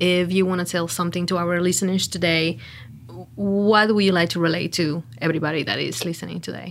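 Speaking at a fairly quick pace, a woman has a fairly low pitch and a Mexican accent. Her intonation is fairly even. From Mexico. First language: Spanish. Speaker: social media director. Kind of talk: casual chat. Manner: laughs often.

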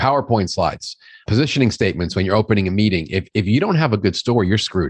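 The background is quiet. A man with an American accent speaks with lively intonation. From New York. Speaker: sales consultant and author. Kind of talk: casual interview chat.

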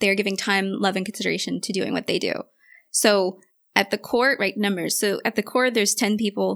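A woman with an American accent talks at a fairly quick pace in a medium pitch, her delivery monotone and flat with vocal fry. The recording is very clean, with a silent background. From New York City. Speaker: medical cybersecurity community organizer. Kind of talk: casual interview.

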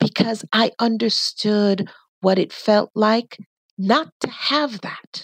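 Speaking at a very slow pace, a woman has a fairly high pitch, heard in a dry, close sound with no echo. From Jamaica. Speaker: nonprofit leader and podcast voice. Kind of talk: interview conversation. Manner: clear speaker with frequent fillers.

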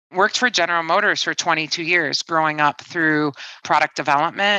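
Against a quiet background, a woman with a Midwestern American accent has a very deep, low pitch, a bright, sharp tone and fairly even intonation, in a dry, close sound with no echo. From Detroit, Michigan. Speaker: climate company CEO and engineer. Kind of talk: interview.

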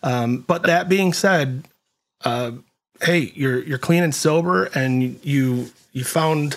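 In an ordinary speaking voice, the talker shows ordinary pitch variation. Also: man. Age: 50s. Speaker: podcast host. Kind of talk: interview.

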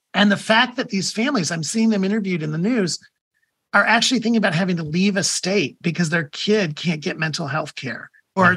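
A man with an American accent speaks at a moderate pace in a high voice. His tone is bright and sharp, with ordinary pitch variation. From US Midwest, Toledo, Ohio. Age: 50s. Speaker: media executive and author. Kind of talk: interview.

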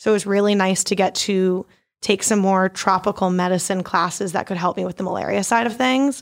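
A woman speaks in a normal speaking voice with an American accent, her pitch medium and her intonation fairly even. She talks at a fairly quick pace on a very clean recording with a silent background. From Maryland, US (Baltimore). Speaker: PhD student. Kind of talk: casual interview.

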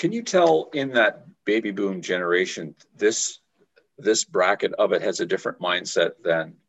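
A man speaks at a moderate pace. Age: 60s. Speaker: podcast host. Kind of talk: casual interview.

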